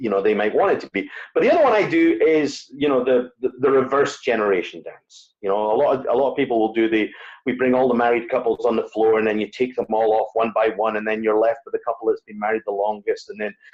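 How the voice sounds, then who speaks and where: A man with a Scottish accent talks at a very fast pace, his medium pitch moving with ordinary variation. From Scotland. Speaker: wedding DJ. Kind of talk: interview conversation. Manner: hesitant, many fillers.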